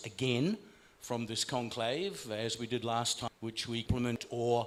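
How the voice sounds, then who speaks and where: A man's voice sits at a medium pitch. He keeps a moderate pace. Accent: Australian. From Australia. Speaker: conference speaker. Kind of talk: closing remarks at a conference.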